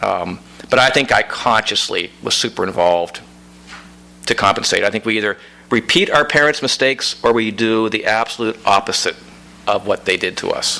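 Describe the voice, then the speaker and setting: A man speaks at a moderate pace. He has a slight Pittsburgh accent. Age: 60s. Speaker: author. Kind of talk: audience Q&A at book reading. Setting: bookstore event with audience.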